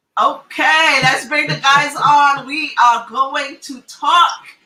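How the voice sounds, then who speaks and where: The voice is raised and projected. It carries a Trinidadian accent. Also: woman. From Trinidad and Tobago. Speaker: psychologist and family therapist, talk show host. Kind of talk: casual group talk show. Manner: animated.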